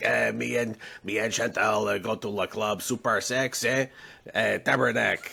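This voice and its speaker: A man puts on a character voice with a French Canadian accent. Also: moderate pace. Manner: comic, exaggerated.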